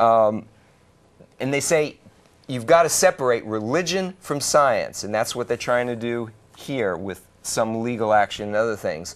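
With an unremarkable speaking voice, a man talks at a fairly slow pace using lively intonation. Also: medium pitch for a man. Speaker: call-in show host. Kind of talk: call-in talk show. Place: studio.

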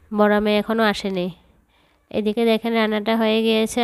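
A woman's fairly high, monotone, flat voice, dry and close with no echo, in a very clean recording with a silent background. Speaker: cooking vlogger. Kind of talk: vlog narration.

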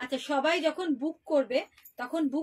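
A woman with a high pitch speaks over a quiet background. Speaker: shop seller hosting a live sale. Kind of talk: live sales presentation. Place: shop. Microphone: phone near.

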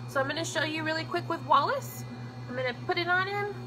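A woman talks at a fairly quick pace. Music can be heard in the background. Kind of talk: casual product demo. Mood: cheerful, friendly. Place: shop. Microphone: phone near.

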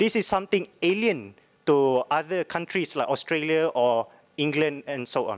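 A man's normal speaking voice, a normal speaking voice at a fairly high pitch and fairly slow pace. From Malaysia. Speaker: law student. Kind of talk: audience question. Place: hall. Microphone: podium.

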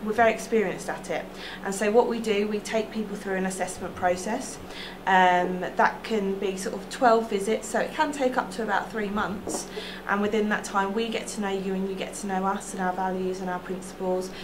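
Noticeable background noise sits behind a woman's voice. She keeps her intonation fairly even. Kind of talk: interview answer. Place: office.

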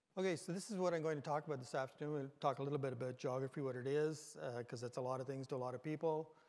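Fairly even intonation marks this man's speech. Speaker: conference presenter. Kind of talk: lecture. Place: hall. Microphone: podium.

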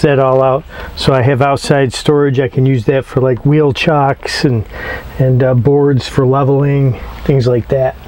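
Speaking at a fairly slow pace is a man. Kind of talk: tutorial. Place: garden.

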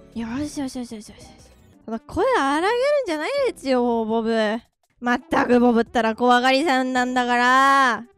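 Over faint background music, a woman puts on a gruff character voice, high in pitch, at a moderate pace, with big swings in loudness. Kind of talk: comic overacting. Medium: virtual streamer. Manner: swaggering, teasing, mock-gruff.

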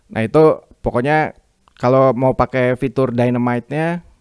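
A man speaks at medium pitch in a dry, close sound with no echo. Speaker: YouTuber reviewing microphones as a hobbyist. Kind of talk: tutorial. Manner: casual.

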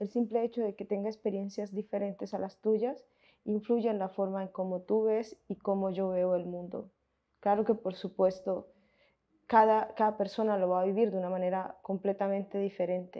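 A woman's monotone, flat intonation at a moderate pace, with a quiet background. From Colombia, Montes de María (Caribbean region); Colombia. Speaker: researcher and film commentator; interviewee. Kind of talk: interview. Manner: halting, with fillers and self-corrections. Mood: calm, thoughtful.

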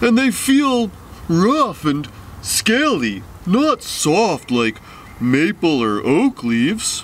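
A man's cartoonish character voice, high-pitched with very wide pitch swings at a very slow pace, over clear background noise. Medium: puppet. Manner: patient, friendly.

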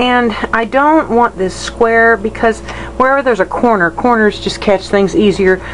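A woman at medium pitch with ordinary pitch variation and a moderate pace, against noticeable background noise. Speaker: painter. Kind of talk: tutorial. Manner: halting.

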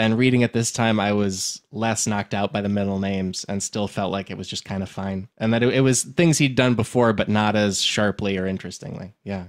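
A man's fairly low voice with an American accent, fairly quick and with hardly any pauses, ordinary pitch variation, in a very clean recording with a silent background. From Illinois. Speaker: comedian podcast host. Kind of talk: casual chat. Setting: studio. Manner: animated.

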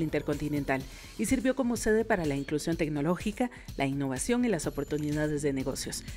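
A woman's very fast, lively-intoned speech over music in the background. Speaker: voice-over narrator for a television report. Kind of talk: corporate narration, TV news report voiceover.

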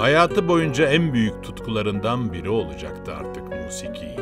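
A man speaks fairly slowly while music carries on behind him. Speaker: documentary narrator. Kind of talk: biographical documentary narration.

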